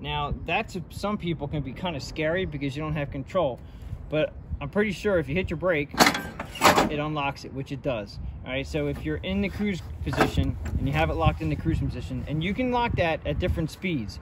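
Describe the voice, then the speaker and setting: The speech moves at a fairly quick pace. Loud background noise fills the dry sound, which has no echo. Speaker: equipment owner demonstrating. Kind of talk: tutorial. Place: farm machine. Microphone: phone near.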